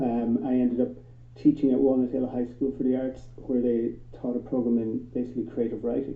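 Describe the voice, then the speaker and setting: Speaking fairly quickly, a man with an Irish accent keeps a medium pitch and monotone, flat intonation. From Ireland. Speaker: film teacher. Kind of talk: panel discussion.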